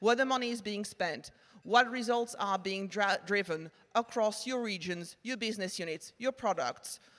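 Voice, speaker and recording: With a French accent, a woman speaks at a fairly high pitch and a moderate pace. Her pitch variation is ordinary. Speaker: marketing tech executive. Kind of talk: conference presentation. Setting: stage with audience.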